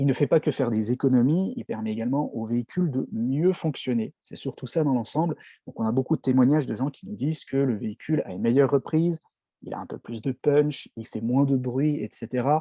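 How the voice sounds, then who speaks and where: Using ordinary pitch variation, a man talks at a fairly quick pace in a medium-pitched voice. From France, Strasbourg (Alsace). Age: 30s. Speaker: network marketing distributor. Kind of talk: product presentation. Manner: hesitant, frequent fillers.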